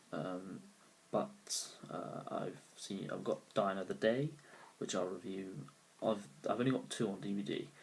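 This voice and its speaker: Quiet and with a British accent, a man talks at a fairly slow pace and fairly low pitch, with lively intonation and long, frequent pauses. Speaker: amateur film reviewer. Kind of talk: casual movie review to camera. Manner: quiet, low volume; hesitant, many fillers.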